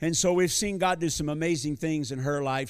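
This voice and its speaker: In a plain, everyday voice with an American accent, a man speaks at a moderate pace, his fairly high pitch showing ordinary variation. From US. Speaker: visiting preacher. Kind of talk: sermon. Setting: church.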